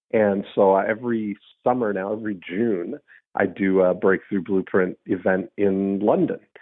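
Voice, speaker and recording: A man speaks in an ordinary speaking voice at a fairly low pitch. His pace is fairly slow and his intonation fairly even. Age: 50s. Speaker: podcast host. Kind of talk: casual chat. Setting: phone call.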